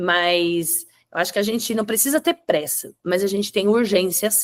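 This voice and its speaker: A woman with a plain, everyday voice, medium pitch, lively intonation, and a moderate pace, in a dry, close sound with no echo. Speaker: webinar presenter on digital content. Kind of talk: webinar presentation.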